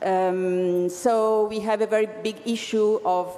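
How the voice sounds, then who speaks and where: Speaking with an Italian accent, a woman with a medium-pitched voice keeps her intonation fairly even over noticeable background noise. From Italy, Bologna. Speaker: regional innovation agency official. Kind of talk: conference presentation. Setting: conference stage with audience. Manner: halting, many fillers and restarts.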